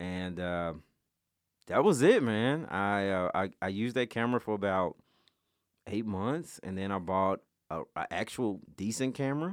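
In a Memphis accent, a man with a fairly low pitch speaks at a moderate pace with lively intonation and long, frequent pauses, in a very clean recording with a silent background. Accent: Memphis Southern US. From Memphis, Tennessee. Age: 30s. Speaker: photographer and videographer. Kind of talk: casual chat.

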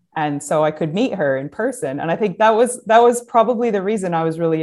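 An American-accented woman talks at a very fast pace with lively intonation. The background is quiet. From upstate New York, US. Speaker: design professor and head of school. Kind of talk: casual interview.

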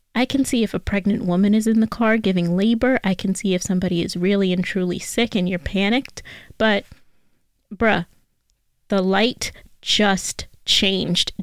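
In a very clean recording with a silent background, a woman with a New York accent speaks with fairly even intonation. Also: medium pitch for a woman, moderate pace. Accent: New York City. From New York City (Bronx area). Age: 20s. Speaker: podcast host. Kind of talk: casual solo advice talk.

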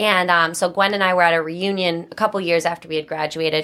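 The speaker talks at a very fast pace in a Boston accent. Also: woman. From Massachusetts, North Attleboro (Boston area). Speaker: ice cream company co-founder, former nurse. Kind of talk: interview.

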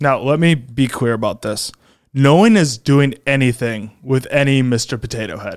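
Recorded very cleanly against a silent background, a man of medium pitch talks at a moderate pace with ordinary pitch variation. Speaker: podcast host. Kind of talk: comedic political monologue. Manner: not conversational; frequent filler ums.

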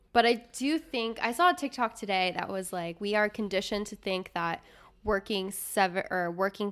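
Fairly quick delivery from a woman with an American accent, a normal speaking voice and ordinary pitch variation. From US Midwest. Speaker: podcast host. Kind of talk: casual chat. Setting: studio, on camera.

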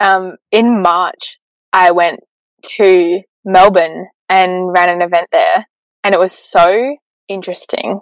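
With an Australian accent, a woman speaks at a very slow pace, with long, frequent pauses and fairly even intonation at a medium pitch. The sound is dry and close with no echo. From South Australia, Port Lincoln. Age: 20s. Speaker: spiritual coach. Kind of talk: casual chat.

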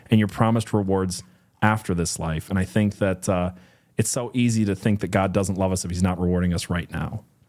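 In a very clean recording with a silent background, a man with a very deep, low voice talks at a fairly quick pace with fairly even intonation. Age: 30s. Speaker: podcast co-host. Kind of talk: casual Bible study discussion.

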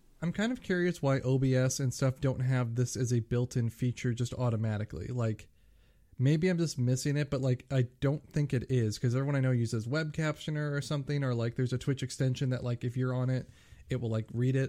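A man at medium pitch mumbles at a fairly quick pace, his dark, mellow tone holding very even loudness and fairly even intonation. The recording is very clean, with a silent background. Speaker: podcast co-host. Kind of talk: casual chat. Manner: mumbling.

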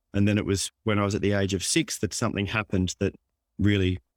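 Speaking very fast in an Australian accent, a man uses a fairly low pitch and fairly even intonation. The sound is dry and close, with no echo. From Australia, Melbourne suburb. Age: 50s. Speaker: author and mindset coach. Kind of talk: interview. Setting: remote call.

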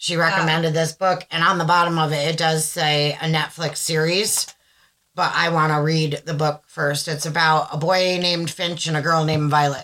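A woman's very deep, low voice with a bright, sharp tone, an American accent, monotone, flat intonation and a moderate pace. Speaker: podcast co-host. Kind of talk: casual chat. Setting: video recording at home.

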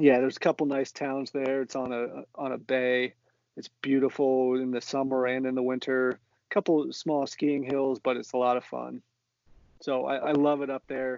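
A man at medium pitch, in an American accent, at a moderate pace with monotone, flat intonation. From Central Ohio, US (Columbus suburb). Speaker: soccer fan guest. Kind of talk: casual chat.

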